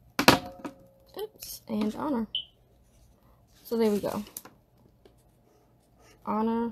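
Through noticeable background noise, a woman speaks at a very slow pace with long, frequent pauses. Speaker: livestreamer leading a Bible study. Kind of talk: casual tutorial chat. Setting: indoors at a desk, live stream. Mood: relaxed, calm.

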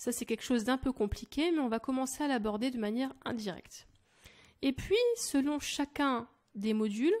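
A woman speaks in an animated tone with a high pitch and lively intonation at a moderate pace. The recording is very clean, with a silent background. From France. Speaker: language teacher. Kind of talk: sales pitch.

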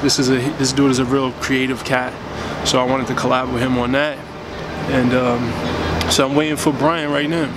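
With music playing behind him, a man speaks at a moderate pace in a dry sound with no echo. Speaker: fitness vlogger. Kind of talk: casual vlog chat. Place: street. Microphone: phone near.

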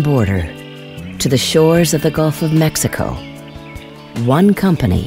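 A man's fairly high voice at a moderate pace, with very wide pitch swings and music in the background. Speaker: voice actor. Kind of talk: corporate narration.

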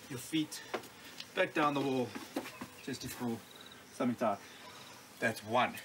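A man talks at a fairly slow pace over noticeable background noise. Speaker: fitness coach. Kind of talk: tutorial. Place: street.

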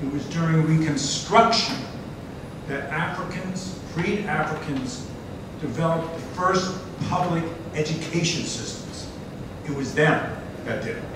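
A man talks at a fairly slow pace with long, frequent pauses. Strong room echo and noticeable background noise surround him. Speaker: event moderator and activist. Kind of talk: public presentation. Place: hall. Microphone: camera far.

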